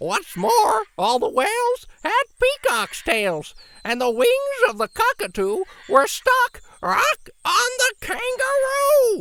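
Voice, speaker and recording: A put-on character voice at an extremely high pitch speaks at a fairly slow pace. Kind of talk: children's picture book read-aloud. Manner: shrill, squawking.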